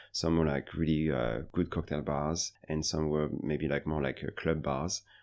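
A man's very deep, low voice with a French accent, at a moderate pace over a quiet background. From France, Paris. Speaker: bartender and bar manager. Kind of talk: interview. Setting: in person, Singapore.

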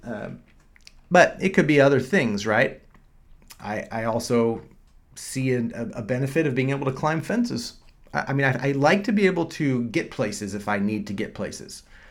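A man speaks at a moderate pace in an ordinary speaking voice, his medium pitch carried by lively intonation. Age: 40s. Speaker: doctor and podcast host. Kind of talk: solo podcast monologue. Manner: casual, with frequent fillers and repetitions.

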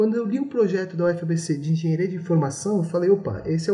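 Words come out very fast, and the pitch varies in an ordinary way. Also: man. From Brazil, São Paulo city. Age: 20s. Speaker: engineering graduate student. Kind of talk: interview.

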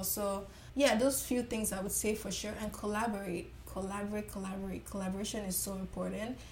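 A woman's medium-pitched voice, flat and monotone, at a moderate pace with audible room echo. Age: 20s. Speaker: makeup artist. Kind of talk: interview.

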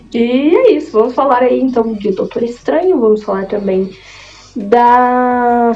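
Over noticeable background noise, a woman speaks at a fairly slow pace. Her pitch is high, with ordinary variation. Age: 20s. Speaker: podcast host. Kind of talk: casual chat.

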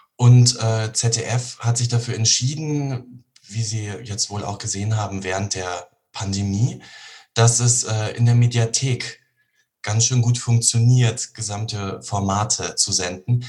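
At a very slow pace, a somewhat breathy man speaks with a medium pitch. His intonation stays fairly even. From Bavaria, Germany (Regensburg). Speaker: actor. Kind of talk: interview.

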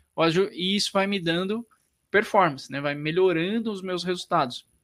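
A man's high-pitched, bright, sharp voice at a fairly quick pace on a very clean recording with a silent background. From interior of São Paulo state, Brazil. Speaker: physiotherapist and business mentor. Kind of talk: podcast interview.

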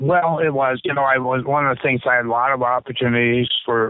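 Talking very fast with fairly even intonation, a man with an American accent holds a medium pitch. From US Midwest (South Dakota). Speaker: retired debate coach. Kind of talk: interview. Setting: phone call.

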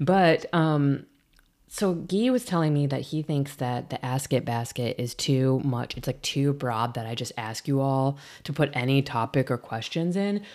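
A woman's very deep, low voice with an American accent, fairly slow, with ordinary pitch variation, on a very clean recording with a silent background. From US Midwest. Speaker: podcast host and painter. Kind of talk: casual chat. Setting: home studio.

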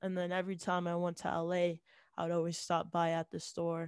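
A woman talks at a moderate pace with a fairly low pitch. The sound is dry and close, with no echo. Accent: American. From Salt Lake City, Utah. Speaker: rapper. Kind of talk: casual chat.

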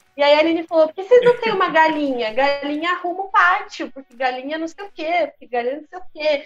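An extremely high-pitched woman talks at a very fast pace with lively intonation. Her loudness swings widely. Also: hardly any pauses. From São Paulo state, Brazil (Campinas, Santa Gertrudes). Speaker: stage actress. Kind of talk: casual interview chat.

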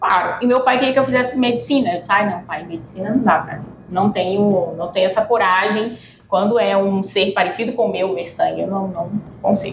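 Noticeable background noise and audible room echo around speech of ordinary pitch variation. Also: woman, medium pitch for a woman, fairly quick pace. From Brazil, Piauí (Teresina). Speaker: veterinarian and food quality consultant. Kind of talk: casual interview chat.

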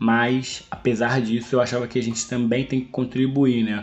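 Noticeable background noise accompanies a man speaking at a moderate pace and medium pitch. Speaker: nurse, health worker and podcast host. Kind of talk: casual chat interview.

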